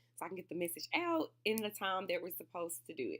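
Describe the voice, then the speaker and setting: A woman speaks at a fairly quick pace, her pitch sitting in the medium range. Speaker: student. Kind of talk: class video presentation. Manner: halting, with fillers and restarts.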